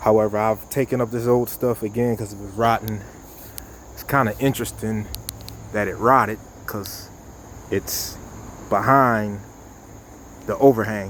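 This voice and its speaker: Amid noticeable background noise, a man at fairly low pitch speaks at a moderate pace in a monotone, flat intonation, with long, frequent pauses and big swings in loudness. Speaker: contractor. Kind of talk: on-site tutorial vlog. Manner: halting, many fillers.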